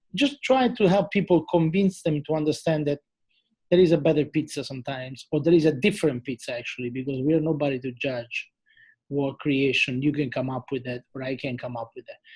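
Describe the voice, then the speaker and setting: A man speaks at a fairly high pitch and a fairly quick pace, with an Italian accent, a somewhat breathy sound, and ordinary pitch variation. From Italy. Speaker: chef and TV culinary judge. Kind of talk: interview. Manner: animated.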